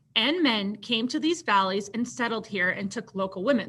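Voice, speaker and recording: At a moderate pace, a woman speaks in a bright, sharp, animated tone with a fairly high pitch. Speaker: teacher. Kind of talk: tutorial. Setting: screen-share recorded lesson.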